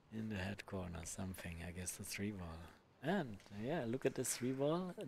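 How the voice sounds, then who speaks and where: With lively intonation, a man talks at a moderate tempo. There is a somewhat breathy quality to his voice. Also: fairly low pitch for a man. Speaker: pool commentator. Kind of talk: live commentary.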